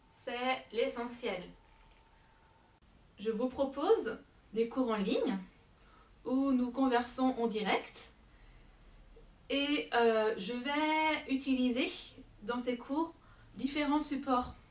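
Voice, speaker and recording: Amid noticeable background noise, a high-pitched woman speaks very slowly with long, frequent pauses and ordinary pitch variation. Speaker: French teacher. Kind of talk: self-presentation to camera. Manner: hesitant, with fillers.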